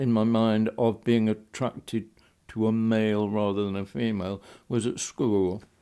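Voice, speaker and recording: At a fairly slow pace, a man speaks at a medium pitch with a dark, mellow tone. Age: 80s+. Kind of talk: interview answer.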